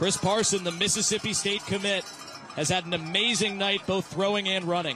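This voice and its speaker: With noticeable background noise around him, a man uses a raised, projected voice, pitched high, at a moderate pace. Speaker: sports broadcaster. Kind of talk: football play-by-play commentary. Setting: live stadium broadcast.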